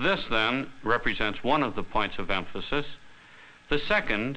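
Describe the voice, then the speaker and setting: At a moderate pace, a man talks in a bright, sharp tone. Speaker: chemistry course teacher or developer. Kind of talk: explanatory newsreel interview. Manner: formal, measured. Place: studio.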